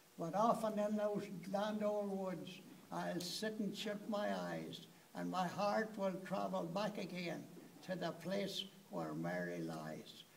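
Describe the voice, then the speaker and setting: Against light background noise, a man with an Irish accent speaks at a very slow pace. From Ireland. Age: 80s+. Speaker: birthday celebrant. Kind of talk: poetry reading. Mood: wistful, tender. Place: hall. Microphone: phone near.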